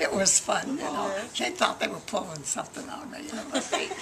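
A woman speaks at a moderate pace. Loud noise fills the background. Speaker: war veteran. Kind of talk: interview answer. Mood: cheerful, reminiscing. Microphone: camera far.

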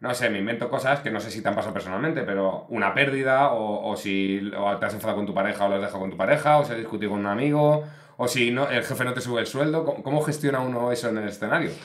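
A man with a medium pitch talks very fast with hardly any pauses. His pitch varies in an ordinary way. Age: 40s. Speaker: podcast host. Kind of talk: casual interview chat. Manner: animated. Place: studio. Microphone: studio mic.

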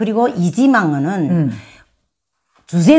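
A woman speaks against a quiet background. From North Korea, rural area. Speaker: North Korean defector, former kindergarten teacher; former kindergarten teacher. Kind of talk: interview, personal life story. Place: home room. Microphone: lapel.

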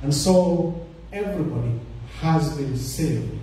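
There is strong room echo and light background noise as a man speaks. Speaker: bible study moderator. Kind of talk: moderating a panel discussion. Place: church.

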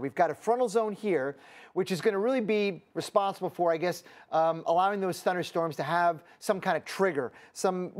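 Quiet background behind a man speaking at a moderate pace. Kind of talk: weather forecast commentary. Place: studio. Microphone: lapel.

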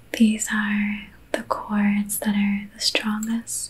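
A soft-spoken woman talks with an American accent. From Belgium. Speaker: reiki practitioner. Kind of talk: ASMR reiki session. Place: home room. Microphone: studio mic.

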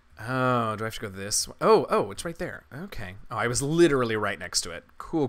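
Lively intonation in a natural reading voice

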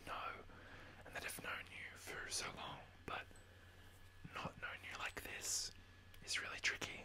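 At a fairly slow pace, the speaker whispers. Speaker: ASMR creator. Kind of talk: ASMR whisper, casual talk to camera. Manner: whispered, soft-spoken. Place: home room. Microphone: studio mic.

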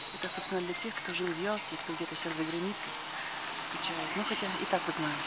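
A woman talks at a moderate pace over loud background noise, with a dry sound with no echo. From Yalta, Crimea. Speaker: video blogger. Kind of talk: casual walking monologue. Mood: nostalgic, relaxed. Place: street. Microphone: phone near.

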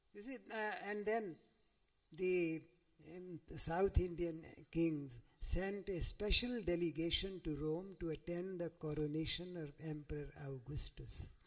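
The speaker talks at a fairly slow pace with ordinary pitch variation against a quiet background. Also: man, high pitch for a man. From India. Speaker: scholar and professor; professor. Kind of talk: lecture. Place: hall. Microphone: podium.

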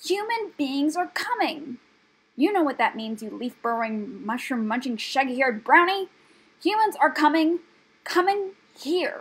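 A woman puts on a shrill, squeaky character voice, pitched high and delivered at a moderate pace. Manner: furious, scolding, loud.

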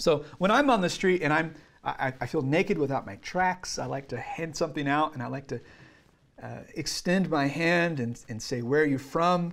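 A man talks with ordinary pitch variation, keeping to a moderate pace. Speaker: trainer. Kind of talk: lecture. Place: classroom. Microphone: camera far.

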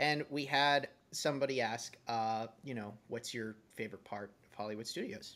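A bright, sharp tone in an American accent, with big swings in loudness, ordinary pitch variation and a moderate pace. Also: man, medium pitch for a man. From Massachusetts, Boston area. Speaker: podcast host. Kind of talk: casual chat.

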